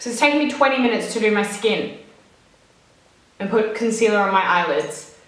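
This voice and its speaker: Speech comes at a fairly quick pace with audible room echo. Noticeable background noise runs throughout. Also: woman. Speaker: beauty vlogger. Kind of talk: tutorial. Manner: chatty.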